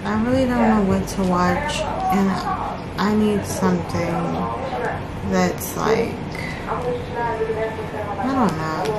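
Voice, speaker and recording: Loud background noise runs under a woman speaking at a very slow pace. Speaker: crochet vlogger. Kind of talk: casual vlog chat. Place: home room. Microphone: camera far.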